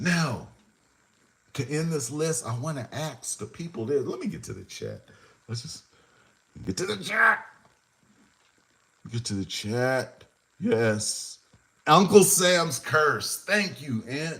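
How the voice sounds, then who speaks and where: A man's fairly high, bright, sharp voice with vocal fry, very wide pitch swings, a very slow pace, and long, frequent pauses. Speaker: hip-hop show host. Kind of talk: live stream commentary. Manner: animated.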